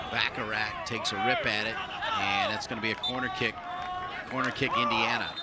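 Over loud background noise, someone talks at a fairly quick pace with long, frequent pauses, the sound dry with no echo. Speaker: play-by-play commentator. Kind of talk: live play-by-play commentary.

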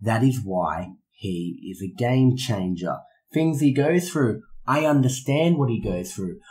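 With an Australian accent, a man speaks at a medium pitch and a fairly slow pace, somewhat breathy, his pitch swinging very widely. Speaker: professional wrestler. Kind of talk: in-character interview. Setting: in person. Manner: arrogant.

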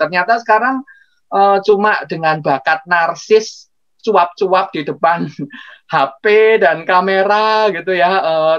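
Very slow speech from a man with a high-pitched voice, against a quiet background. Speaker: webinar guest. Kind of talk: interview answer. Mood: amused, chatty. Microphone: video call.

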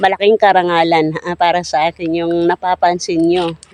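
The sound is dry and close, with no echo. A man talks at a high pitch. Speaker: vlogger. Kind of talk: casual vlog talk to camera. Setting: outdoors by the roadside. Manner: hesitant, many fillers.

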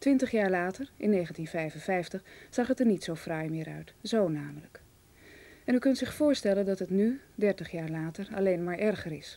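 A woman's dark, mellow tone at a moderate pace, with lively intonation. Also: medium pitch for a woman. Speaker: television announcer. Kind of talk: announcement. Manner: formal. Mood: calm, earnest.

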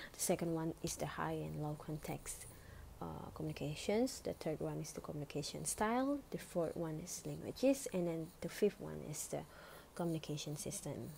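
A woman with an Indonesian accent speaks at a moderate pace. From Indonesia, Bali. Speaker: student. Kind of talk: academic presentation.

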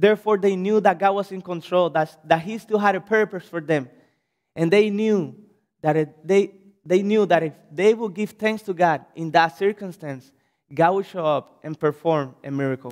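Against a quiet background, a man with a Cuban accent talks at a moderate pace and a high pitch. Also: ordinary pitch variation. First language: Spanish. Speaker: pastor. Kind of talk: sermon. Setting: church. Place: church. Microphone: podium.

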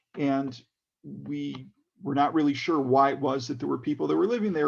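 A man with a Chicago accent, talking at a moderate pace. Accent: American English, Chicago. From US Midwest (Chicago area, Skokie), then Israel from age 11. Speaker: political candidate. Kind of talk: town hall talk, personal story. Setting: video call. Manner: many fillers and restarts.

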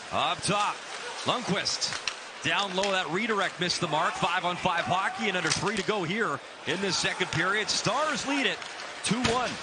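Dry sound with no echo, long and frequent pauses, and loud background noise. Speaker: hockey play-by-play announcer. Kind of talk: live play-by-play hockey commentary. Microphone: headset.

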